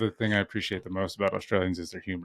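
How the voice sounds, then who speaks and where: A man's fairly low voice with an American accent, an ordinary speaking voice, ordinary pitch variation, and a dry, close sound with no echo. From US East Coast. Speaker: podcast host. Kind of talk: casual chat.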